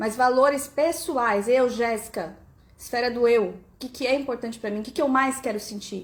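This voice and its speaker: The speaker's tone is animated. Pitch varies in an ordinary way. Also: woman. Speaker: family constellation coach. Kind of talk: live stream talk. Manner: fast.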